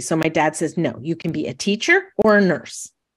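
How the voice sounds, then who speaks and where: An ordinary speaking voice from a woman with an American accent, fairly low in pitch with ordinary pitch variation, at a moderate pace on a very clean recording with a silent background. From New York State. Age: 60s. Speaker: retired teacher. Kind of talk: interview conversation.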